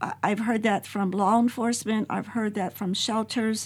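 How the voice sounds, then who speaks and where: A woman's fairly high voice stays fairly even in intonation and sounds somewhat breathy. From Mexican-American, US. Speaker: nonprofit founder, domestic violence survivor. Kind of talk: casual group discussion. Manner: hesitant, with fillers.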